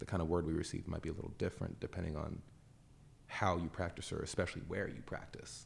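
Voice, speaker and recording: Somewhat breathy, a man speaks with a very deep, low pitch. His pace is fairly quick and his intonation fairly even. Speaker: podcast host. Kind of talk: casual interview conversation.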